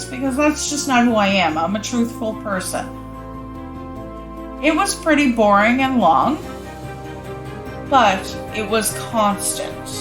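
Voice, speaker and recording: A woman with a Cape Breton accent at a fairly slow pace, with long, frequent pauses and music in the background. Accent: Cape Breton Canadian English. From Cape Breton, Nova Scotia, Canada. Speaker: vlogger. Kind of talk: casual storytelling to camera.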